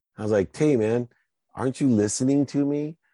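With an American accent, a man talks at a fairly quick pace in an animated tone. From US Midwest (Akron, Ohio). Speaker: sports agent and entrepreneur. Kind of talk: interview.

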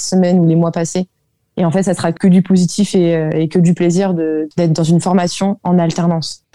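A dark, mellow tone with monotone, flat intonation. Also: woman. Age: 20s. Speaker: work-study student. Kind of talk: interview. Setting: remote call.

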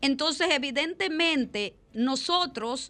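At a fairly slow pace, a woman speaks with lively intonation in a bright, sharp tone. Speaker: radio host and judge. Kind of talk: radio talk show.

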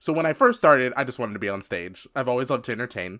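On a very clean recording with a silent background, a man speaks at a medium pitch with an American accent. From US. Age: 30s. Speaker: drag performer and author. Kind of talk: interview. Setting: studio. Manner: upbeat.

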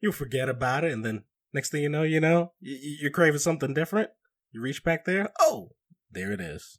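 A man's fairly quick, lively speech with long, frequent pauses and big swings in loudness, on a very clean recording with a silent background. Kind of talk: casual chat.

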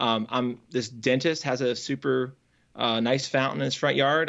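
A man with an American accent speaks at a medium pitch. He has an ordinary speaking voice with ordinary pitch variation. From Northern Virginia. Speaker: software developer and coach. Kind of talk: interview conversation.

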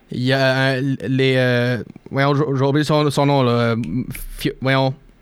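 Fairly even in intonation, a man's voice stays at a medium pitch. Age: 20s. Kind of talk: casual chat.

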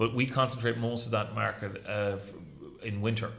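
With an Irish Midlands accent, a man talks at a very fast pace in a fairly low, somewhat breathy, flat monotone, with audible room echo. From Ireland, County Roscommon. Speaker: hotel general manager. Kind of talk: interview. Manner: halting, many repetitions and fillers.

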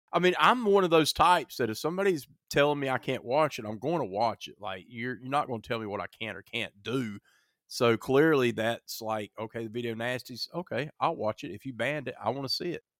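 Recorded very cleanly against a silent background, with a dry, close sound and no echo, a man at a medium pitch talks fairly quickly in an animated tone, with lively intonation and big swings in loudness. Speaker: horror podcast host. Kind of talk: casual chat.

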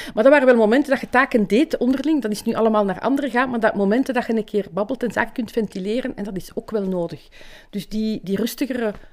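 A woman with a fairly high pitch, ordinary pitch variation and a very fast pace. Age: 60s. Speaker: nurse. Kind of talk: testimony.

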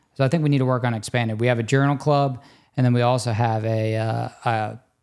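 An American accent from a man, on a very clean recording with a silent background. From US South, Louisiana near New Orleans. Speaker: interventional cardiologist. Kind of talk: casual interview.

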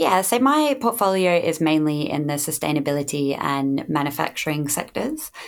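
Very deep and low in pitch, a woman speaks with an Australian accent at a moderate pace, with ordinary pitch variation and hardly any pauses. The recording is very clean, with a silent background. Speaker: standards development manager. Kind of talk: interview.

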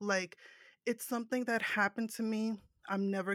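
In a very clean recording with a silent background, a woman with an American accent speaks in a monotone, flat intonation, the sound dry and close with no echo. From New Jersey. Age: 30s. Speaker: podcast host and guest. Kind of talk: casual interview chat.

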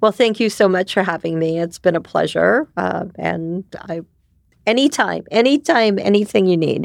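With a dry, close sound and no echo, the speech moves at a moderate pace with lively intonation. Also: woman, medium pitch for a woman. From New York City. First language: Japanese. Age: 50s. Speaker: ecosystem builder and community director. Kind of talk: casual interview chat.

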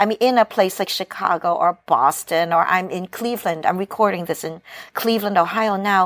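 At a moderate pace, a woman talks in an ordinary speaking voice. Her pitch is medium and her intonation fairly even. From New York (Brooklyn), immigrated from Hong Kong at five. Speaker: novelist. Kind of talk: casual chat. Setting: remote recording from Cleveland.

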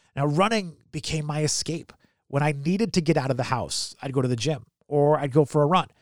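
A man with an American accent and a plain, everyday voice, fairly high in pitch and fairly quick, on a very clean recording with a silent background. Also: ordinary pitch variation. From United States. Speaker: podcast host. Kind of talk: casual interview.

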